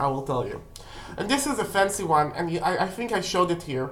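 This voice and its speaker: Audible room echo surrounds a woman with a non-native accent. Her fairly low pitch carries lively intonation. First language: not English. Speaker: witchcraft video creator. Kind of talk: casual tutorial. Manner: halting.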